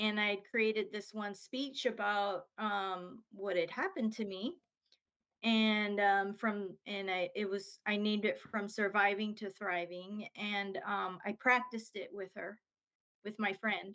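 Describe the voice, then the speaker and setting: At a fairly slow pace, a woman speaks at a medium pitch with fairly even intonation and a bright, sharp tone. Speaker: therapist and author. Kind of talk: interview. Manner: slow, halting.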